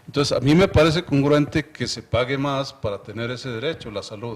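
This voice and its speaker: A man talks fairly quickly, with ordinary pitch variation. He has a normal speaking voice, pitched at a medium level. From Mexico, Chihuahua. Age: 60s. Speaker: university official and economics commentator. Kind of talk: TV interview.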